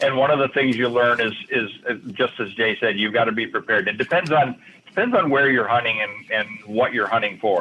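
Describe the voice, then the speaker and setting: Amid noticeable background noise, a man with a Midwestern American accent talks at a fairly quick pace. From Michigan. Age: 70s. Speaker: hunting author. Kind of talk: radio interview.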